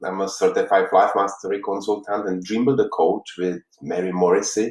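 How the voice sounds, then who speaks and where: With a Czech accent, a man talks at a moderate pace with hardly any pauses. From Czech Republic, Prague. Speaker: life coach. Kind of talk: motivational talk. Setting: live stream. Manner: halting.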